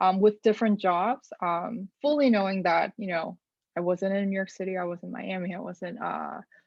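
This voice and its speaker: Speaking in a Korean accent, a woman keeps a fairly even intonation. Her pitch is medium and her pace moderate. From South Korea. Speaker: data journalist. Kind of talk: interview answers to a youth group. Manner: hesitant, many fillers.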